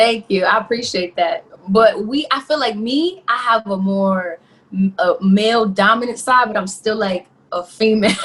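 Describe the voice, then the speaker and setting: A woman speaks with a New York accent at a fairly high pitch. Her pace is moderate and her pitch varies in an ordinary way. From New York, the Bronx. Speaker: R&B singer. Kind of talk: interview. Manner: animated.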